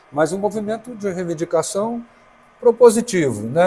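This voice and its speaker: Lively intonation and a moderate pace mark this man's dark, mellow tone. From Brazil, Brasília. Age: 60s. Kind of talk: interview. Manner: halting.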